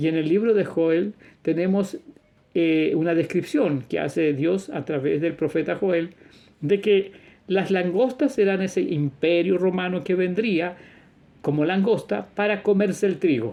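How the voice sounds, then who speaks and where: Fairly slow, high-pitched speech from a man. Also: ordinary pitch variation. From Chile. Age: 60s. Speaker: religious teacher / video preacher. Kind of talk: religious monologue.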